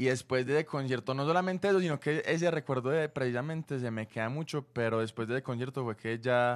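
Against a quiet background, a man talks at a very fast pace with hardly any pauses and ordinary pitch variation. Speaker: singer; radio guest. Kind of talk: casual interview. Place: studio. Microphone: studio mic.

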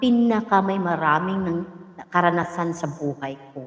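Her voice sitting fairly low for a woman, this female speaker shows ordinary pitch variation. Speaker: vlogger telling life story. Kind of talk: casual storytelling livestream. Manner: energetic, laughing often.

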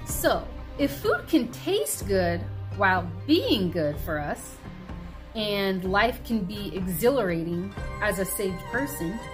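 A woman's voice is heard with clear music playing behind it. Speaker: health vlogger. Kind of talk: casual devotional vlog talk. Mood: earnest, encouraging. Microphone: phone near.

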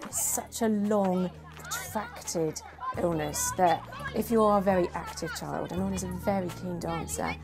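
With faint crowd noise and faint music in the background, a woman talks at fairly low pitch with ordinary pitch variation. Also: moderate pace.

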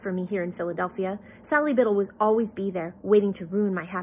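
This is plain reading aloud.

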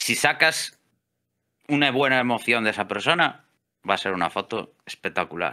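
In a Galician accent, a man with a medium pitch and a bright, sharp tone talks at a moderate pace with lively intonation and long, frequent pauses against a quiet background. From Galicia, Spain. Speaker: electrician and amateur photographer; interview guest. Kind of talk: casual interview chat; interview answer. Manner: hesitant, many fillers and repeats. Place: home room. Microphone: studio mic.

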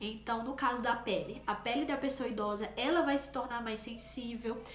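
A woman at a fairly slow pace with ordinary pitch variation, audible room echo and light background noise. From Brazilian Northeast, Paraíba. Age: 20s. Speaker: nursing technician and vlogger; nursing technician youtuber. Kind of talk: explanatory vlog talk; tutorial. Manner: casual, many fillers. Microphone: phone near.

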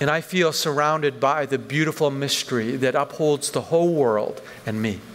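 Light background noise sits behind the voice. Delivery is at a moderate pace with ordinary pitch variation. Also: man, fairly high pitch for a man. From western Canada, Vancouver. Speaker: pastor. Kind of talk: sermon. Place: church. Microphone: headset.

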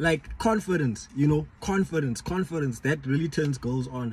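In a dry sound with no echo, a man talks at a moderate pace with ordinary pitch variation. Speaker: vlogger giving dating advice. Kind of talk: casual vlog chat. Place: car. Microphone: phone near.

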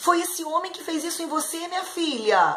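Light background noise accompanies a voice with ordinary pitch variation. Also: woman. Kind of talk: acted dialogue for a kids' video. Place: home room.

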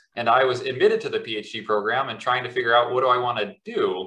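Audible room echo carries a man's bright, sharp tone with ordinary pitch variation. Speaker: professor. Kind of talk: academic interview and Q&A. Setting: video call. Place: home room. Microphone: webcam.

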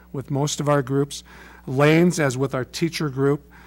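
Faint music plays in the background. Over it, a man speaks. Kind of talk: formal meeting report. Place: meeting room. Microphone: podium.

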